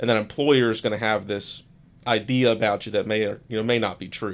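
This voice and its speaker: A man with an American accent talks at a fairly quick pace in an unremarkable speaking voice. The recording is very clean with a silent background. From Florida, near Daytona Beach. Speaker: attorney. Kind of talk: legal explainer interview.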